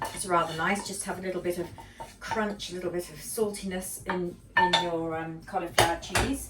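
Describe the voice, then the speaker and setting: There is noticeable background noise. A woman in a southern English accent talks at a moderate pace. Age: 70s. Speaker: home cooking vlogger. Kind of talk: cooking tutorial. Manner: casual, hesitant with fillers.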